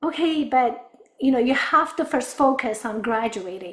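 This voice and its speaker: A woman with an Afghan accent, high pitch and ordinary pitch variation. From Afghanistan. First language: Dari. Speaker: business development director. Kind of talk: interview testimony.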